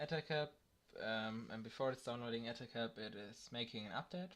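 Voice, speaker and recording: With a non-native accent, a man speaks at a medium pitch. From Germany. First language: German. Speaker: tech tutorial youtuber. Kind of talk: tutorial. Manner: halting, many fillers.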